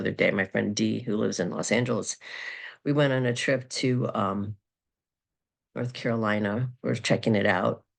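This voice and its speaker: A woman talks at a moderate pace with a very deep, low pitch. The background is quiet. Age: 50s. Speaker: astrologer and psychic. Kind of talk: casual monologue video. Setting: recorded video. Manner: halting, many fillers.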